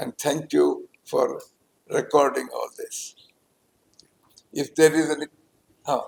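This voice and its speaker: With big swings in loudness and long, frequent pauses, a man talks at a very slow pace in a dry, close sound with no echo. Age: 90s. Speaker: orthopedic surgeon. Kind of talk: press meet.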